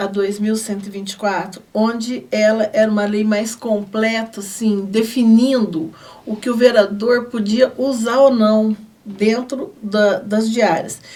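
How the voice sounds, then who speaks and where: Over noticeable background noise, a woman speaks fairly slowly at a fairly high pitch with fairly even intonation. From Brazil, southern Minas Gerais (Guaxupé). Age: 60s. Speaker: city councillor. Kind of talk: TV interview. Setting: studio.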